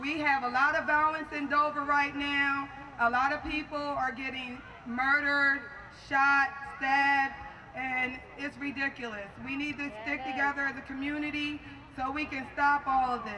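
In a raised, projected voice with a bright, sharp tone, a woman speaks at a moderate pace in a flat monotone over light background noise. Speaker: community show host. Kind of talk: public address to an outdoor crowd. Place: stage.

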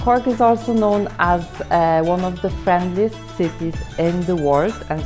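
Clear music plays in the background. Over it, a woman talks at a fairly slow pace. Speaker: hotel manager. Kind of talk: interview answer. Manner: hesitant, filler-heavy. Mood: warm, friendly, slightly nervous. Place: hall. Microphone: phone near.

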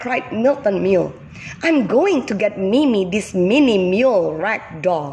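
Lively intonation in a natural reading voice

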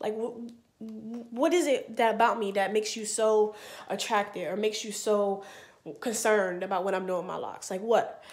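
The woman here talks at a fairly quick pace. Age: 20s. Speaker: vlogger. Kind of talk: casual storytelling vlog. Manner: animated. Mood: animated, storytelling, mildly exasperated. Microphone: webcam.

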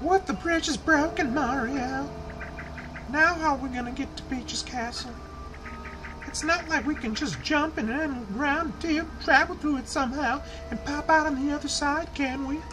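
Putting on a whiny character voice, a man talks at a moderate pace in an extremely high pitch over loud background noise. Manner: annoying, whiny.

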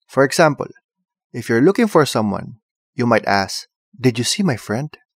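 In a Filipino accent, a man talks at a moderate pace with very wide pitch swings, on a very clean recording with a silent background. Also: dry, close sound with no echo. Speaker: tutorial presenter. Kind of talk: comedic tutorial. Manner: animated, humorous.

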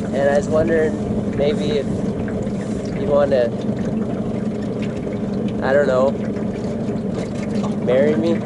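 Against loud background noise, a man speaks at a fairly slow pace, with long, frequent pauses. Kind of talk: personal marriage proposal. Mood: nervous, tender. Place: boat.

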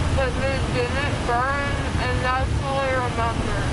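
A woman talks very slowly through loud background noise. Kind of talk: casual conversation. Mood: groggy, dazed. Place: car. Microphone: camera far.

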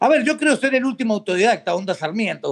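In a quiet background, a man with a high pitch speaks at a fairly quick pace. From Argentina, Mendoza; Argentina. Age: 50s. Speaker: political activist; podcast guest. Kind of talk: interview. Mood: animated, storytelling. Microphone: video call.

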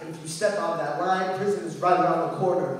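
Strong room echo surrounds a man who speaks fairly quickly in a monotone, flat delivery. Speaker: poet. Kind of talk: spoken word poetry performance. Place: hall. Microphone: camera far.

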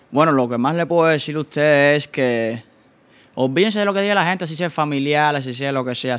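A man with a fairly high pitch, ordinary pitch variation and a very fast pace. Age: 20s. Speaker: TikTok content creator; guest. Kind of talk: casual chat. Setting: studio. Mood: animated storytelling. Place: studio. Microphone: studio mic.

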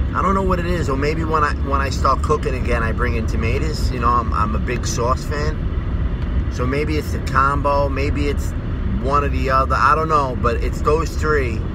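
Loud background noise sits behind a man talking at a moderate pace, the sound dry with no echo. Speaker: vlogger. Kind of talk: casual vlog monologue. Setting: in a car. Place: car. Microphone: phone near.

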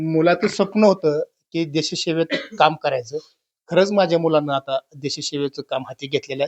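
A man with an unremarkable speaking voice and fairly high pitch uses ordinary pitch variation, the sound dry and close with no echo over a quiet background. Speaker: local news reporter. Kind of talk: field interview. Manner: repetitive.

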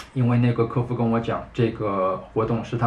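At a moderate pace, a man talks in a somewhat breathy voice over light background noise. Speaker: motorcycle vlogger. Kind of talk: casual vlog commentary. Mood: calm, a little resigned complaint. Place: home room.

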